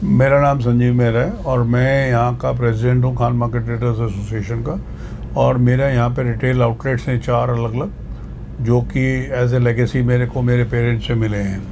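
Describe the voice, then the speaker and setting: Audible room echo and noticeable background noise surround a man who talks at a moderate tempo. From Delhi, India. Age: 70s. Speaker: market traders' association president and shopkeeper. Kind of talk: interview.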